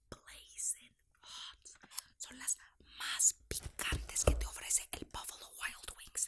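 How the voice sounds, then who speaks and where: A woman whispering at a very slow pace, with big swings in loudness. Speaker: vlogger. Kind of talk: casual talk to camera. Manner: casual, talkative. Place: home room.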